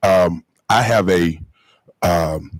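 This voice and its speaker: A man with a North Carolina accent, in a dry, close sound with no echo. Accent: Southern US (North Carolina). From North Carolina (Marshville). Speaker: school board member and pastor. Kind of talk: public meeting remarks. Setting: board meeting. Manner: fast when excited.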